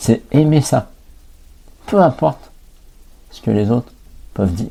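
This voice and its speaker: The voice is somewhat breathy and fairly slow, and its loudness swings widely. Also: man, medium pitch for a man. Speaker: life coach and podcast host. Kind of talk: podcast monologue. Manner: hesitant, with fillers and repetitions.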